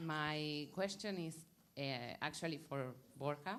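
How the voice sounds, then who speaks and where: A woman's very deep, low voice with a Spanish accent, fairly slow pace, and fairly even intonation. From Argentina. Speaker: audience member asking question. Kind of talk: audience question. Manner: halting.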